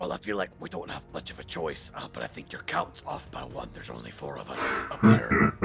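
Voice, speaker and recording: A man uses a raspy put-on character voice with a very deep, low pitch, very wide pitch swings and big swings in loudness. He moves at a fairly quick pace over clear background noise. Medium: actual play. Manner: polite, conciliatory.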